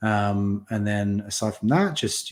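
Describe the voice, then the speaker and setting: Very clean and silent in the background, this recording features a man with a British accent. His pitch is fairly low. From UK. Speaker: community founder in cybersecurity. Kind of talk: podcast interview. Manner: hesitant, many fillers.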